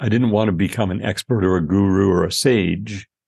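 Recorded dry and close with no echo against a quiet background, a man with an unremarkable speaking voice talks at a moderate pace, his pitch fairly low with ordinary variation. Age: 60s. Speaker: supplement company CEO. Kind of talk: casual interview.

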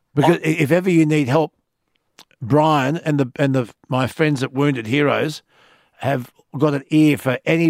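This man has a fairly high pitch and an Australian accent, speaking at a moderate pace. His intonation stays fairly even, and the sound is dry and close with no echo. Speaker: radio host. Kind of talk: late-night talkback radio.

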